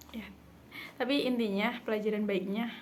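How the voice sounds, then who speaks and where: A woman talks at a moderate pace. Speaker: vlogger, university student. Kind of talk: casual vlog monologue. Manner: chatty, filler-heavy.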